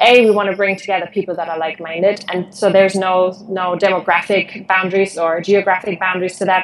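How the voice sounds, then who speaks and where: At a fairly quick pace, a woman talks with a German accent. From Germany. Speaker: conference organizer and behavioral change coach. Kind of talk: interview.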